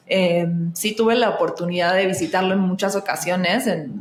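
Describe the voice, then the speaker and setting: A woman at medium pitch with ordinary pitch variation and a moderate pace, over noticeable background noise. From Argentina. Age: 30s. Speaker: actress and singer, astrologer. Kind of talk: podcast interview. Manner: hesitant, many fillers.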